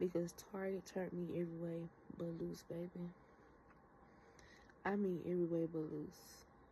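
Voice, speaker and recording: The tone is dark and mellow, somewhat breathy, and flat and monotone in intonation. The pace is moderate, broken by long, frequent pauses. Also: woman, fairly low pitch for a woman. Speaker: vlogger. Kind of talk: casual chat. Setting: at home.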